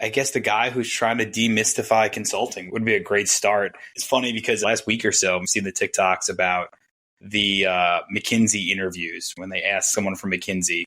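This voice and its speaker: A man speaks in a Long Island accent at a moderate pace. His tone is bright and sharp, with fairly even intonation. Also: fairly low pitch for a man. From Long Island, New York. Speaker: management consultant. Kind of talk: casual interview chat.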